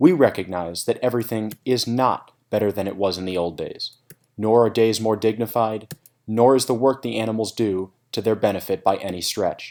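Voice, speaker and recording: Medium pitch from a male speaker, the pitch varying in an ordinary way. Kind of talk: scripted narration. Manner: fast.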